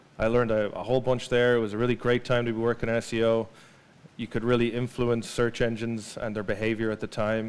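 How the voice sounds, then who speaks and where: A man with an Irish accent at a very fast pace. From Ireland. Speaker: marketing data specialist, invited speaker; speaker. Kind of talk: presentation to a live audience. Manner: hesitant, many fillers and repeated words. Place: hall.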